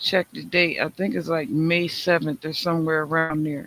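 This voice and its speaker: Man's high-pitched voice with a bright, sharp tone. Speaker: talk show host. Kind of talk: casual chat. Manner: slow.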